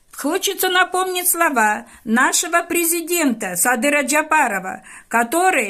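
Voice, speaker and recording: A woman speaks at a fairly slow pace in a raised, projected voice. Her pitch swings very widely. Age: 70s. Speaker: teacher making a public appeal. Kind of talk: public video appeal to an official. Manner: formal; earnest, pleading.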